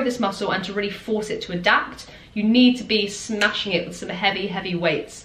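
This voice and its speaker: Noticeable background noise accompanies a woman speaking at a medium pitch. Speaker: fitness influencer and online coach. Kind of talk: tutorial. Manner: fast.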